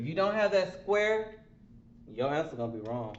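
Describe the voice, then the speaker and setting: There is audible room echo around this man's high-pitched voice, which moves through very wide pitch swings. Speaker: math teacher. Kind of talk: lecture. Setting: online remote class. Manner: slow, deliberate.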